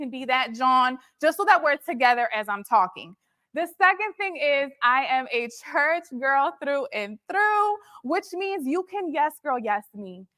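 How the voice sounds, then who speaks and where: In a Philadelphia accent, a woman projects a raised, high voice with a bright, sharp tone, sounding animated with very wide pitch swings and big swings in loudness at a fairly slow pace, the sound dry and close with no echo. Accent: Philadelphia American English. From Philadelphia, US. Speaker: motivational speaker and entrepreneur. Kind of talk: motivational talk.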